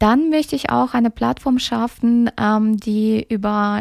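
Her voice fairly high, a woman speaks at a fairly slow pace with fairly even intonation, in a dry, close sound with no echo on a very clean recording with a silent background. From Kyrgyzstan, raised in Germany. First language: Russian (speaking German). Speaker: social media influencer and podcast host. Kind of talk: solo podcast introduction. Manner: hesitant with many filler sounds.

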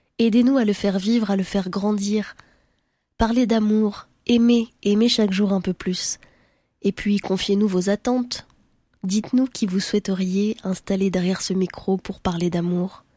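Dark and mellow in tone and somewhat breathy, a woman speaks at a fairly slow pace with fairly even intonation, in a very clean recording with a silent background and a dry, close sound with no echo. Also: medium pitch for a woman. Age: 20s. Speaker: podcast host, journalist. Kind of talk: scripted narration.

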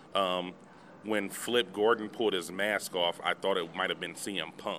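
A man's fairly low voice at a fairly quick pace. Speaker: podcast co-host and interviewee. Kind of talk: casual interview chat. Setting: outdoors at convention. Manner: energetic, casual slang.

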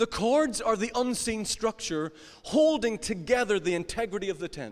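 Someone with a Northern Irish accent talks at a moderate pace with lively intonation. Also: man. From Northern Ireland, County Down. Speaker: pastor. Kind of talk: sermon.

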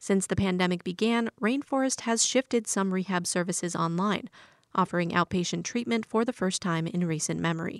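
A woman speaks at a fairly quick pace in a normal speaking voice, medium in pitch with ordinary pitch variation and very even loudness. The recording is very clean with a silent background and a dry, close sound with no echo. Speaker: radio news reporter. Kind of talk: news reading.

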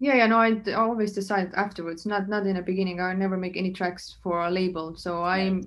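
Someone with an Estonian accent speaks at a very fast pace with fairly even intonation. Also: woman, medium pitch for a woman. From Estonia (Saaremaa island). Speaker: DJ and music producer. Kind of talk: casual interview chat. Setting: hotel room, remote call.

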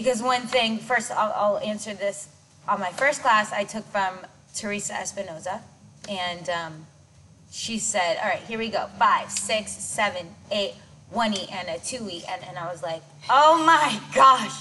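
Against noticeable background noise, a woman speaks at a fairly slow pace with lively intonation and big swings in loudness. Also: medium pitch for a woman. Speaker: dance choreographer and director. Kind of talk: casual interview chat. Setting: gym. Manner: stutters at times.

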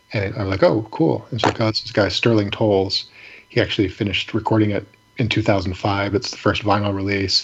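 A man with an American accent speaks at a fairly quick pace in a fairly low pitch. His voice is somewhat breathy, with fairly even intonation. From Michigan, Ypsilanti. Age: 40s. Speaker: independent musician. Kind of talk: casual chat.

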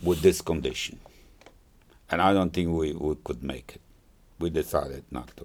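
A man with a very deep, low pitch and vocal fry speaks at a moderate pace, with big swings in loudness, ordinary pitch variation and long, frequent pauses. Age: 80s+. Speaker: Holocaust survivor. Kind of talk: oral history interview. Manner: halting.

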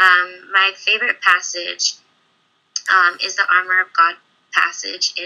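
With an American accent, the speaker talks at a fairly slow pace in a monotone, flat intonation. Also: woman. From California. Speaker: aspiring performer and model, university student. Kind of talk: casual interview chat.

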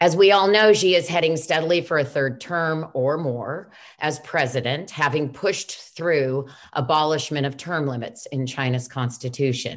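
A woman talks with a very deep, low pitch at a moderate pace. Her pitch varies in an ordinary way. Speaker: interviewer, lawyer and human rights advocate. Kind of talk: moderated interview. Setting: video call.

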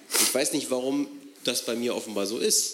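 Noticeable background noise runs under the recording. A man talks at a medium pitch. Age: 40s. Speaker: audience member. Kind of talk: Q&A question. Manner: halting.

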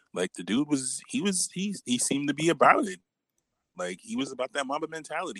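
With an American accent, this speaker talks at a fairly quick pace in a bright, sharp tone with vocal fry and very wide pitch swings. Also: man. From New York, Brooklyn. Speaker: podcast guest. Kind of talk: casual chat.

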